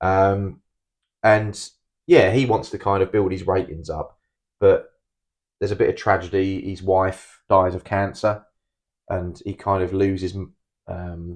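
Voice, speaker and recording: A man with a very deep, low voice speaks at a fairly slow pace in a flat monotone, leaving long, frequent pauses over a quiet background. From UK. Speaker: film review podcast co-host. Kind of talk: casual chat. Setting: home recording.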